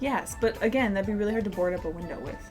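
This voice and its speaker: A woman talks at a medium pitch while music plays behind her. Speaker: movie reviewer. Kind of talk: casual drunk movie review chat.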